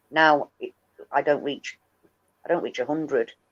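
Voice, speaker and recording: Woman with a northern English accent at a moderate pace, in a dry, close sound with no echo. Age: 50s. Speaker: livestream host and activist. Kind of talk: casual chat. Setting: livestream.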